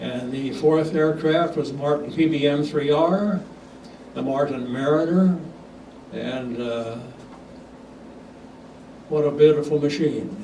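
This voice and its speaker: Over noticeable background noise, a man speaks at a very slow pace in a fairly high pitch with ordinary pitch variation. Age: 80s+. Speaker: retired airline captain. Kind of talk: talk to club audience.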